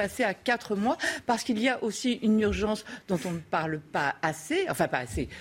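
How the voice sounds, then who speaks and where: Speaking at a moderate pace, a woman uses lively intonation in a medium pitch, an unremarkable speaking voice. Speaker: debate panelist. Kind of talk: debate.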